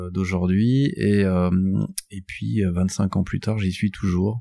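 In a very clean recording with a silent background, a man speaks at a fairly slow pace in a very deep, low pitch, his dark, mellow tone carrying fairly even intonation. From northern France, Douai. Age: 40s. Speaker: communications group boss. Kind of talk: interview. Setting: in a garage. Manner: halting, many repetitions.

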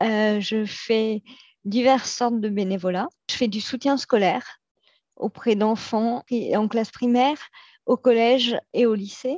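A woman's fairly high voice moves at a very slow pace with fairly even intonation, the sound dry and close with no echo. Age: 40s. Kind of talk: interview testimony. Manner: hesitant, many fillers.

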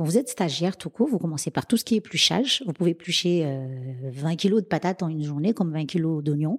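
A woman with a normal speaking voice, fairly low in pitch, at a moderate pace with lively intonation, dry and close with no echo, on a very clean recording with a silent background. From Madagascar, then Réunion from age 11. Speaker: chef and caterer. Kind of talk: interview.

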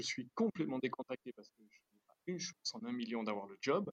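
Recorded with a dry, close sound and no echo, a man speaks at a moderate pace with very wide pitch swings. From Switzerland. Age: 50s. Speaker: watch company founder. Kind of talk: interview.

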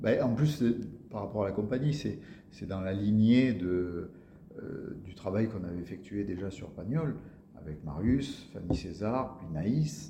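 A fairly low-pitched man speaking very slowly, with long, frequent pauses, lively intonation and big swings in loudness, amid audible room echo and noticeable background noise. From Marseille area, southern France. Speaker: actor. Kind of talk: interview.

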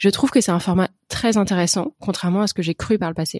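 At a fairly quick pace, a woman speaks in a medium-pitched voice with ordinary pitch variation. The recording is very clean, dry and close, with no echo and a silent background. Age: 30s. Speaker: podcast host and riding instructor. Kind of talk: solo podcast introduction. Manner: hesitant, many fillers.

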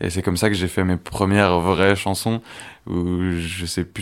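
Very deep, low male speech, fairly even in intonation, captured on a very clean recording against a silent background. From Besançon, eastern France. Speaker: musician. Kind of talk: interview.

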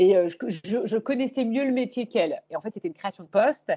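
A woman talks at a very fast pace. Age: 40s. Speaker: YouTuber and image coach. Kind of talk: interview conversation.

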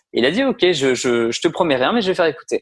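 Close and dry with no echo, a man's voice moves at a fairly quick pace with lively intonation. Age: 30s. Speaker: music manager and producer. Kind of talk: interview. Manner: hesitant, many fillers.

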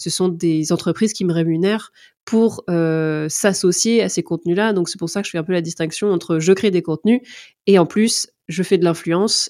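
The tone is dark and mellow, with fairly even intonation at a moderate pace. The sound is dry and close with no echo, in a very clean recording with a silent background. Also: woman, fairly low pitch for a woman. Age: 30s. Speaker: content creator and HR influencer. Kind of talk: interview. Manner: hesitant, many fillers.

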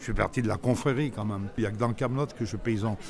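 Music plays in the background as a man talks at a very fast pace. His pitch is medium, with ordinary pitch variation. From Grenoble area, Isère, France. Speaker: actor and comedian. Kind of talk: casual chat. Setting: outdoors. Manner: halting, repeats words.

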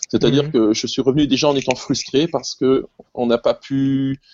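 The speaker is a man. He talks at a medium pitch. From Alsace, France (Colmar). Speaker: music teacher. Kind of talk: casual chat.

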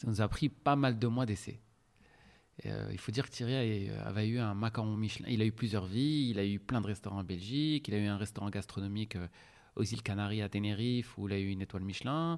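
Speaking at a fairly quick pace, a man uses a fairly low voice with ordinary pitch variation. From Morocco, Casablanca. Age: 40s. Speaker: restaurant entrepreneur. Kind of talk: interview. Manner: hesitant, with filler sounds.

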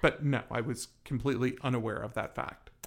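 A man with a plain, everyday voice keeps a medium pitch, fairly even intonation and a moderate speed. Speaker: real estate agent and podcast host. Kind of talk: casual chat.

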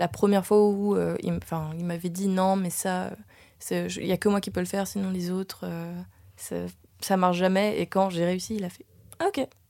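The background is silent and the recording very clean. A woman delivers her words at a fairly slow pace. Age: 20s. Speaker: actress and dancer. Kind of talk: casual chat.

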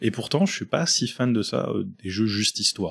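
The speaker is a man. The recording is very clean, with a silent background. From France, Reims. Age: 20s. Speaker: crisis manager and gamer. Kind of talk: casual interview. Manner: hesitant, with fillers.

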